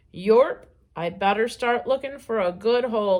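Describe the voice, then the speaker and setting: A woman puts on a croaky character voice pitched fairly high. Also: moderate pace. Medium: read story.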